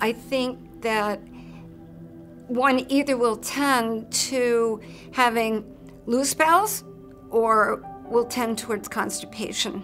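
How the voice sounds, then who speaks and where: Against music in the background, a woman with a fairly high pitch and ordinary pitch variation speaks at a very slow pace, with long, frequent pauses. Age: 60s. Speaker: cancer survivor. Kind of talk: testimony.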